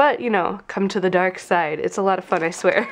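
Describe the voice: A woman talks at a fairly quick pace in a fairly low, nasal voice with ordinary pitch variation.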